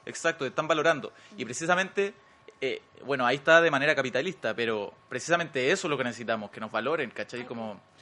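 A man with a Chilean accent at a fairly high pitch and a very fast pace, with lively intonation and big swings in loudness. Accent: Chilean Spanish, colloquial. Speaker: actor. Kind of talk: casual chat.

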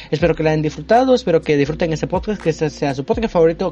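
Over noticeable background noise, a man talks in a fairly high pitch with ordinary pitch variation. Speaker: podcast co-host. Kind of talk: casual chat.

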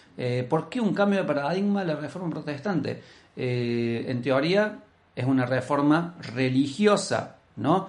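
Lively intonation comes through at a fairly slow pace, with audible room echo and noticeable background noise. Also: man, fairly high pitch for a man. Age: 40s. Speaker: podcast co-host, language teacher. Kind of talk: casual discussion podcast.

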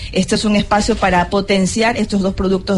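A woman speaks at a medium pitch and a moderate pace. Noticeable background noise runs under her voice. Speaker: radio host. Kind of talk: live radio interview. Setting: live broadcast at a fair.

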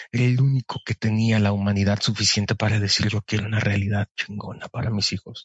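Somewhat breathy and fairly low, a man's voice moves at a fairly quick pace in a monotone, flat intonation. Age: 30s. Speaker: podcast guest and voice-over announcer. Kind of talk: casual chat.

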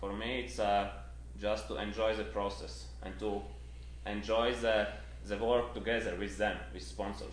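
A man with a very deep, low pitch speaks at a very slow pace amid audible room echo. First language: not Spanish (speaking Spanish). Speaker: trail runner. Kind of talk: interview. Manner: halting Spanish.

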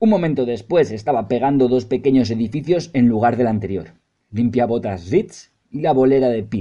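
This is a natural reading voice against a quiet background.

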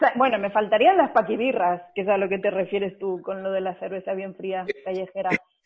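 A woman talks at a fairly quick pace with hardly any pauses, in an unremarkable speaking voice. Her pitch is medium and her intonation fairly even. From Spain, Barcelona. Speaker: podcast co-host. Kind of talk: casual chat.

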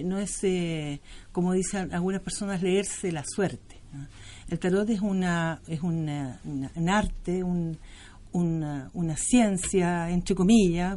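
A woman's voice sits at a medium pitch and varies in an ordinary way. She talks very slowly. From Chile. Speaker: tarot reader. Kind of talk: interview.

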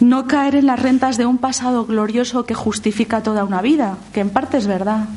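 With noticeable background noise, a woman at a high pitch talks at a moderate pace with fairly even intonation and hardly any pauses. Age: 50s. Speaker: lay theologian and speaker. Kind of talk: lecture.

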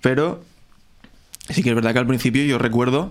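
This man's voice sits at a medium pitch. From Spain, Alicante (Novelda). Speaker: musician. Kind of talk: casual chat. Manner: halting.

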